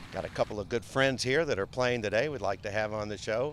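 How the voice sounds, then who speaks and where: A man talks in a normal speaking voice at a medium pitch and a fairly quick pace, with ordinary pitch variation. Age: 40s. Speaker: golf TV show host. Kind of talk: on-location interview.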